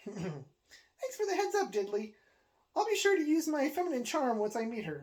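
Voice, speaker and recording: This is a put-on character voice with a high pitch. It moves at a moderate pace with very wide pitch swings. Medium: read story. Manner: dry, polite.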